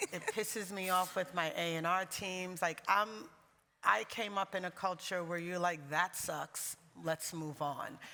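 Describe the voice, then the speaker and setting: A woman with a New York accent speaks at a fairly slow pace and medium pitch in a bright, sharp tone. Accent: New York American. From US, New York. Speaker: music label managing director. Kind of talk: panel discussion. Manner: animated.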